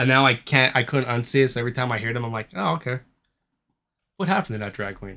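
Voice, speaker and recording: A bright, sharp tone at a very fast pace with long, frequent pauses, in a very clean recording with a silent background. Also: man, medium pitch for a man, ordinary pitch variation. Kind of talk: casual chat. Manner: casual, swears often.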